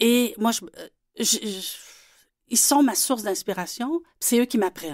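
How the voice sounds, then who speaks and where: Her voice fairly high, a woman talks very slowly with lively intonation and long, frequent pauses on a very clean recording with a silent background. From Quebec City. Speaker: children's illustrator and author. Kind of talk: radio interview.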